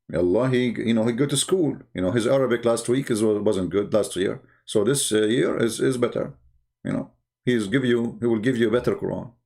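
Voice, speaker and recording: A man talks at a moderate pace in a medium-pitched voice with a dark, mellow tone. There is vocal fry, and his pitch varies in an ordinary way. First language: not English. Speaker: religious debater. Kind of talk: live stream commentary. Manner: animated; halting.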